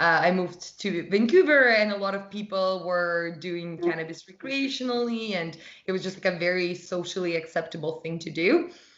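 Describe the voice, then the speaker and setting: A woman speaks at a moderate pace with a fairly low pitch. Her pitch variation is ordinary, and the room echo is audible. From Russia. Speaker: holistic nutritionist and wellness brand founder. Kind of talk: podcast interview.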